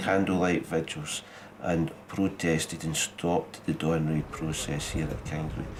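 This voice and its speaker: A man in a Scottish accent, very deep and low in pitch, monotone and flat, at a moderate pace. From Scotland. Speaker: actor and director. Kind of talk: interview answer.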